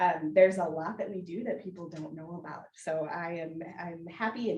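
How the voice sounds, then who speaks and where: A woman with an American accent speaks at a fairly low pitch with ordinary pitch variation, and there is audible room echo. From Wisconsin, Washington County. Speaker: business council staff presenter. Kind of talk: orientation presentation. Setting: in-person room with audience. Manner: fast.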